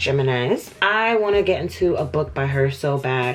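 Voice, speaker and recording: With music in the background, a woman speaks at a very deep, low pitch that moves in very wide swings. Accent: American. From New York, USA. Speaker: book reviewer. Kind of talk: casual talk to camera.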